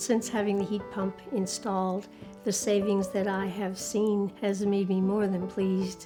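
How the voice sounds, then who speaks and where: With music in the background, the voice moves at a fairly slow pace in a monotone, flat intonation at very even loudness. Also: woman, medium pitch for a woman. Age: 70s. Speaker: retired widow, painter. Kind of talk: interview answer.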